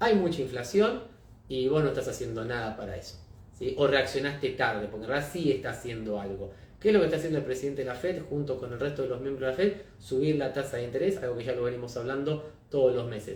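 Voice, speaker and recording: A man with an Argentine accent speaks very fast at a medium pitch, sounding somewhat breathy. There is audible room echo. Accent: Rioplatense Argentine Spanish. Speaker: market analyst, company founder. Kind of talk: live-streamed market analysis. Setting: live stream. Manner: conversational, addresses viewers.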